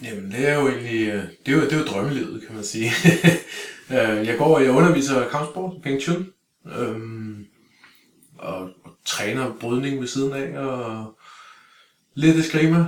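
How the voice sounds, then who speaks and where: At a fairly slow pace and medium pitch, a man speaks with ordinary pitch variation, big swings in loudness and long, frequent pauses. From Denmark, Greve (Copenhagen area). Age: 40s. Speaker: martial arts instructor. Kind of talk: casual interview. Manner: halting, many fillers and repeated words.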